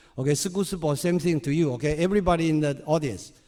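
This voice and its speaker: A man speaks with a Chinese accent. His fairly high voice has a dark, mellow tone. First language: Mandarin. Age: 60s. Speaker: volunteer speaker. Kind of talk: talk to audience. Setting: stage with audience.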